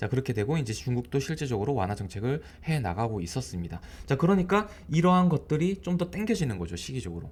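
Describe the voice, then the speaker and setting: A somewhat breathy man, very fast, with very wide pitch swings. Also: medium pitch for a man. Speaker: stock market commentator. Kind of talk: market commentary video. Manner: casual, filler-heavy.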